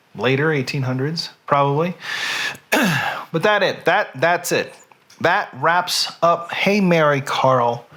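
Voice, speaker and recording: A high-pitched man with an American accent and ordinary pitch variation. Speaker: online show host. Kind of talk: casual chat.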